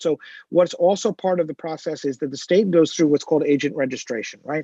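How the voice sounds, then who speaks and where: Speaking very fast, a man uses a New Jersey accent. His pitch is fairly high, with ordinary variation. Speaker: business applicant. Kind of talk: public presentation. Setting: township committee meeting.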